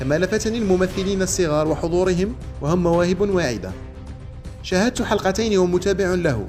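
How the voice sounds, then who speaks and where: Over music in the background, a man talks at a moderate pace in a high pitch, with ordinary pitch variation and very even loudness. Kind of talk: news commentary narration reading a quoted statement.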